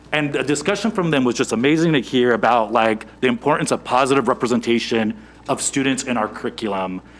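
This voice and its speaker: A man talks at a very fast pace. His intonation is lively. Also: medium pitch for a man. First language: not English. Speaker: school board member and teacher. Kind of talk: board meeting remarks. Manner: halting.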